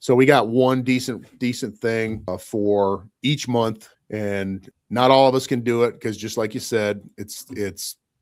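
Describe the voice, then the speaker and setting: A normal speaking voice, this man has a medium pitch and fairly even intonation at a fairly slow pace. The recording is very clean, with a silent background. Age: 50s. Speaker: car enthusiast podcast host. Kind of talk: casual chat.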